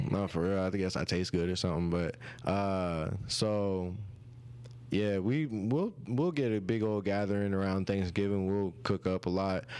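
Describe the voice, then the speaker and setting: With a slight country accent, a man with a fairly low voice speaks at a moderate pace and with ordinary pitch variation on a very clean recording with a silent background. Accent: slight country twang. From rural Oklahoma, US. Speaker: musician. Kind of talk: interview. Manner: casual.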